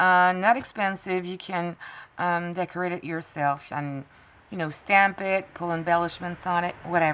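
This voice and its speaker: Fairly even intonation in a French accent at a moderate pace, captured in a very clean recording with a silent background. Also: woman, fairly low pitch for a woman. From France. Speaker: crafting tutorial creator. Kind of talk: tutorial. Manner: halting, with frequent fillers.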